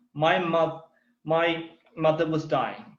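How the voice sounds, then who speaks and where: A man is speaking. The room echo is audible. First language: Thai. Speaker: political speaker. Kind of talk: prepared speech.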